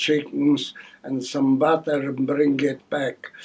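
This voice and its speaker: A man's fairly high-pitched, monotone, flat delivery at a very slow pace, with noticeable background noise. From Poland. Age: 80s+. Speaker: elderly care service user. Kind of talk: testimony.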